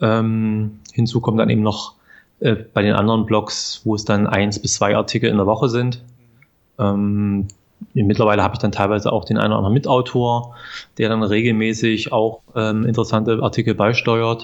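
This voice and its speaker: The voice holds a moderate pace, with very even loudness and monotone, flat intonation. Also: man, medium pitch for a man. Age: 40s. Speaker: professional blogger. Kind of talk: interview. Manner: hesitant fillers.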